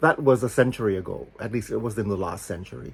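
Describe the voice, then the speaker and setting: A man speaks at a fairly quick pace in a fairly low pitch. His voice has vocal fry and ordinary pitch variation. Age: 70s. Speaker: author. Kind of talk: casual monologue.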